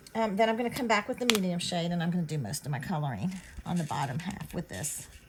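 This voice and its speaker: Noticeable background noise sits behind this woman. She talks at a fairly quick pace with a Southern US accent. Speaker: card-making crafter. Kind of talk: craft tutorial talk to camera. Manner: casual, chatty.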